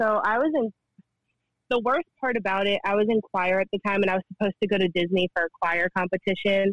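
In an ordinary speaking voice with an American accent, a woman talks at a fairly quick pace, her pitch medium with ordinary variation, in a dry, close sound with no echo. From New Jersey. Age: 20s. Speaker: former server. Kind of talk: casual chat.

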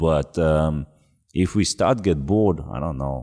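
In a Japanese accent, a man with a very deep, low pitch and a dark, mellow tone speaks at a fairly slow pace. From Yamagata, Japan. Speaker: record label co-founder. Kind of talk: casual interview chat. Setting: studio.

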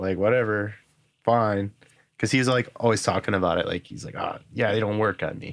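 On a very clean recording with a silent background, a man with a normal speaking voice and fairly low pitch talks at a moderate pace with big swings in loudness. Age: 30s. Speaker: guitarist and music producer. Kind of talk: casual chat.

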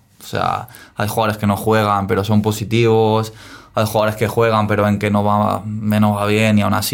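A man with a fairly low voice keeps a moderate pace. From Spain, Dénia (Valencian Community). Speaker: professional footballer. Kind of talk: interview.

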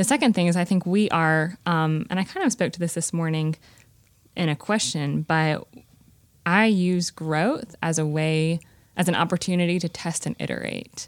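A moderate pace and ordinary pitch variation, in a Southern US accent. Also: woman, fairly low pitch for a woman. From Greensboro, North Carolina. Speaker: startup founder. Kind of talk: casual interview chat.

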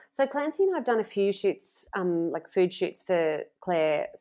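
A woman with an Australian accent speaks at a medium pitch and moderate pace on a very clean recording with a silent background. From Australia (Sydney). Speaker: farmer, author and food blogger. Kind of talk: casual interview chat.

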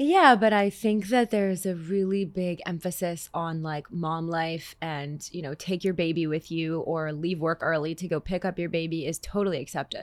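A woman talks in a normal speaking voice at a fairly low pitch with ordinary pitch variation. Her pace is moderate, with hardly any pauses. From Canada. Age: 20s. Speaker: singer and songwriter. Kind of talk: casual interview chat.

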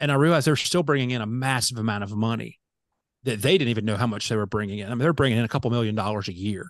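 Over a quiet background, a man with an American accent talks at a very fast pace, at medium pitch with ordinary pitch variation. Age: 40s. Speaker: pastor. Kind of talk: interview.

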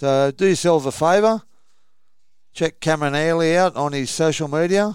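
With an Australian accent, a man with a fairly high pitch speaks at a moderate pace and ordinary pitch variation, pausing long and often. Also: very clean recording, silent background. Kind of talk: casual chat.

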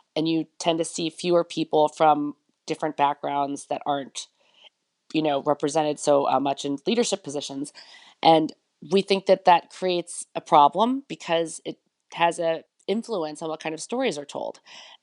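With an American accent, a woman speaks at a moderate pace in a very deep, low pitch with ordinary variation, the sound dry and close with no echo against a quiet background. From United States. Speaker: journalism program head and editor. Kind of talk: interview.

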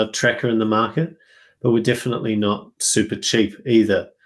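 Over a silent background in a very clean recording, a man with an Australian accent talks at a moderate pace in a fairly low voice. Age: 30s. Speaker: software company founder. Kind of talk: casual interview.

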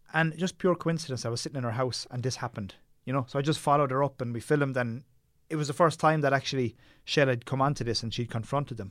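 Here a man talks with a Tipperary accent. His pace is very fast. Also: medium pitch for a man, ordinary pitch variation. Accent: Irish (Tipperary). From Ireland, Tipperary. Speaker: documentary filmmaker. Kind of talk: interview conversation.

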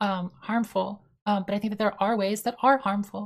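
Her delivery is monotone and flat, as a woman speaks at a medium pitch and a moderate pace. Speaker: online debater. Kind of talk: heated debate.

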